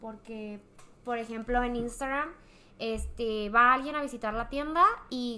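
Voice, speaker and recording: With an unremarkable speaking voice, a woman talks at a moderate pace and fairly high pitch, with big swings in loudness. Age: young. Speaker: podcast guest. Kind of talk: casual chat.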